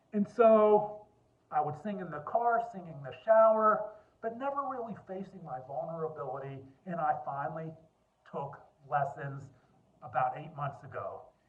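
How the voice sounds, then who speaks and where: With audible room echo, a man talks at a moderate pace in a high voice, his intonation lively and his loudness swinging widely. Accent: American. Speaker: lawyer and mental health speaker. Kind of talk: personal talk to camera.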